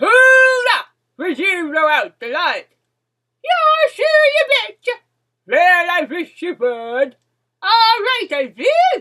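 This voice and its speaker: A woman puts on a character voice at an extremely high pitch, swinging very widely in pitch at a very slow pace. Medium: read story. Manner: folksy, singsong.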